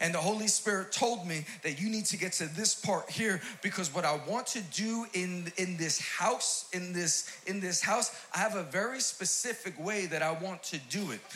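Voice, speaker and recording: Raising and projecting his voice, a high-pitched man in a New York accent talks at a moderate pace with ordinary pitch variation, amid noticeable background noise and audible room echo. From New York City, Queens. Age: 40s. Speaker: pastor. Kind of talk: sermon. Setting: church stage with audience. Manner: animated.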